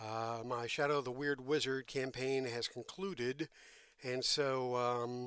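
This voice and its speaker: His intonation stays fairly even. The man talks at a very slow pace. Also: medium pitch for a man. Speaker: tabletop RPG YouTuber. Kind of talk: solo video review talk. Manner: halting with many fillers.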